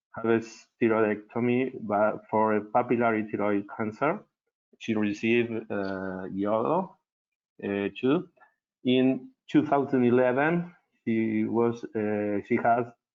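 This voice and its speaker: A man's medium-pitched voice at a fairly slow pace, with ordinary pitch variation and long, frequent pauses. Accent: Argentine. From Argentina. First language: Spanish. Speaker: cardiologist. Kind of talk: medical case presentation. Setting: webinar. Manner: halting, many fillers.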